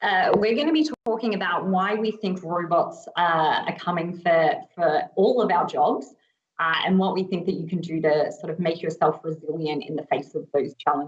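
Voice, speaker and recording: Hardly pausing at all, a woman with an Australian accent talks at a moderate pace in a fairly low voice with ordinary pitch variation. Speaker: agile coach. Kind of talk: conference panel talk.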